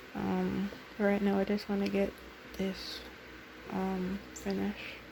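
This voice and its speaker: A woman talks at a very slow pace while noticeable background noise plays behind her. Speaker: sewing vlogger. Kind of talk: casual vlog narration.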